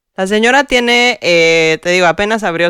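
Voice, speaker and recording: In a very clean recording with a silent background and a dry, close sound with no echo, a woman with a plain, everyday voice speaks fairly slowly at a fairly low pitch with lively intonation. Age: young. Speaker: podcast co-host. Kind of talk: casual chat.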